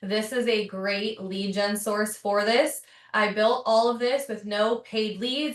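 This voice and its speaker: A woman with an ordinary speaking voice speaks at a fairly high pitch, her intonation fairly even. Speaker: real estate agent and online trainer. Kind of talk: webinar tutorial. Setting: video call webinar with screen share.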